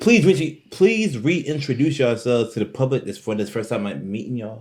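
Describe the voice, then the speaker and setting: A man with a medium pitch and a somewhat breathy voice talks at a fairly quick pace, with lively intonation and big swings in loudness. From Maryland. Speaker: podcast host. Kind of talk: casual chat.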